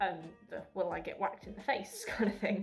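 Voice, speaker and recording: With music in the background, a woman speaks at a moderate pace in an Essex accent. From Essex, England. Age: 20s. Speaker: university student. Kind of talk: casual talk to camera.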